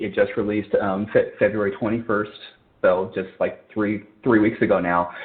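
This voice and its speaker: A man with an American accent speaks at medium pitch and a moderate pace. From California. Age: 40s. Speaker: rock band drummer. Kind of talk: podcast interview. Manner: halting, frequent repetitions and fillers.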